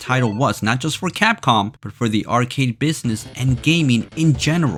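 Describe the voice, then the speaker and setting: A man speaks at a moderate pace with lively intonation and a medium pitch while music plays in the background. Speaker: gaming history video narrator. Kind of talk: video game history narration.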